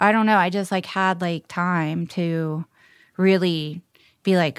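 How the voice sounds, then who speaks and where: Very slowly, a woman with a fairly low voice speaks in fairly even intonation, leaving long, frequent pauses. The sound is dry and close with no echo, on a very clean recording with a silent background. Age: 40s. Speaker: actor. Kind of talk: casual chat.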